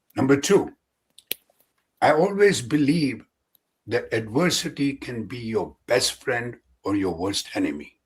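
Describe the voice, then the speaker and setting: Speaking at a fairly slow pace with long, frequent pauses, a man with a fairly high voice shows vocal fry and very wide pitch swings. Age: 70s. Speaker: physician and endurance athlete. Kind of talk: podcast interview answer.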